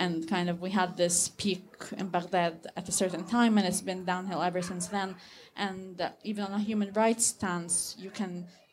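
At a moderate pace, a woman talks in a somewhat breathy, medium-pitched voice with flat, monotone intonation. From Egypt. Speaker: audience member asking a question. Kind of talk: audience question.

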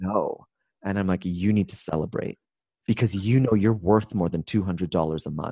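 With a Canadian accent and a dark, mellow tone, a man speaks fairly low in pitch at a moderate pace, the sound dry and close with no echo on a very clean recording with a silent background. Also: ordinary pitch variation. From Canada. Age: 40s. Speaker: business coach and keynote speaker. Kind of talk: casual interview.

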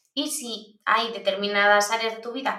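A woman speaks with a bright, sharp tone. There is audible room echo. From Basque Country, Spain. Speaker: privacy expert and university lecturer. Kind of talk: interview.

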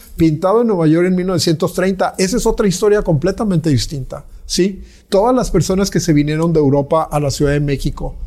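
Speaking at a fairly quick pace, a man with a high pitch and a dark, mellow tone keeps his loudness very even and his pitch variation ordinary. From Mexico. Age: 60s. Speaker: visual artist. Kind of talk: interview. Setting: artist's studio.

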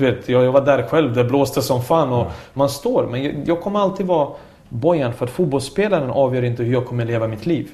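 The speech moves at a fairly quick pace with ordinary pitch variation and audible room echo. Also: man, medium pitch for a man. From Bosnia (Sarajevo), moved to Sweden at 10. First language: Bosnian/Serbian (speaking Swedish). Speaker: former footballer and coach. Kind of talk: casual chat. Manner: talkative.

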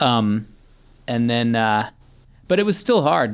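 Against a quiet background, a man with an American accent speaks at a moderate pace and medium pitch. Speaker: singer-songwriter. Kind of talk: casual interview.

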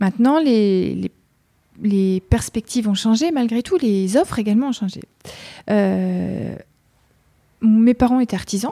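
Fairly slow speech with long, frequent pauses comes in a dark, mellow tone with ordinary pitch variation, recorded very cleanly against a silent background with a dry, close sound and no echo. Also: woman, fairly high pitch for a woman. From France, Mayenne. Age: 40s. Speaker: entrepreneur. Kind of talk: interview. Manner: hesitant.

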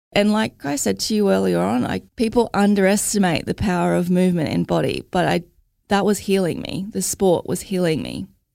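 In an Australian accent, a woman speaks at a fairly quick pace. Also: very clean recording, silent background. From Logan, Queensland, Australia. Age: 30s. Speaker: mother and mental health advocate. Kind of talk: interview.

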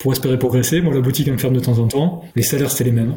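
Amid noticeable background noise and audible room echo, a man at medium pitch speaks with fairly even intonation. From France, Gers (southwest). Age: 40s. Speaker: underwear brand founder. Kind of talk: casual interview chat. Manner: hesitant, many fillers.

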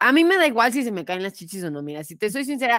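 A woman with a Mexican accent talks at a fairly quick pace with very wide pitch swings, in a dry, close sound with no echo. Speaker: podcast host. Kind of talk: casual chat.

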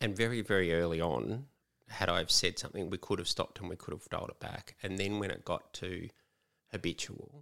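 Speaking at a fairly quick pace, a man with an Australian accent has a very deep, low pitch and a bright, sharp tone. His pitch varies in an ordinary way, and the recording is very clean with a silent background. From Melbourne, Australia. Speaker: author, former prisoner. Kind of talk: interview.

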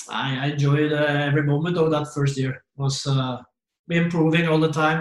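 At a moderate pace, a man with a Norwegian accent speaks in monotone, flat intonation at a fairly high pitch. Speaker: former football manager. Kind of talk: casual interview. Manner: halting.

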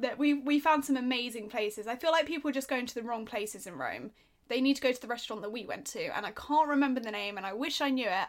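A woman's very fast, high-pitched speech with ordinary pitch variation and big swings in loudness, in a very clean recording with a silent background. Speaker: podcast co-host. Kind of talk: casual chat.

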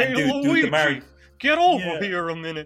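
A man puts on a gruff character voice with a New York accent. His pitch is high and his pace is moderate. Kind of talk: casual, dude-slang.

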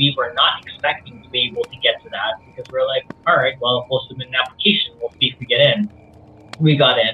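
Over noticeable background noise, a man with a fairly high pitch talks at a very fast pace, with lively intonation and big swings in loudness. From Philippines, then Middle East and rural Australia. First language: Visayan (Cebuano). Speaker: writer, director and comics creator. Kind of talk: casual interview chat.

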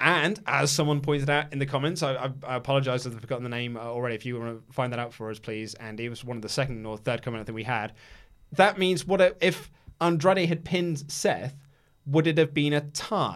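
A man at a fairly high pitch, very fast pace, and ordinary pitch variation. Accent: English. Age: 30s. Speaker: wrestling podcast host. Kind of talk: casual chat.

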